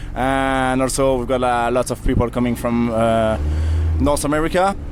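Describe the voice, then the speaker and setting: A man with a French accent speaks at a moderate pace amid audible room echo and noticeable background noise. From France. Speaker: event media manager. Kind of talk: interview. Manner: hesitant, filler-heavy.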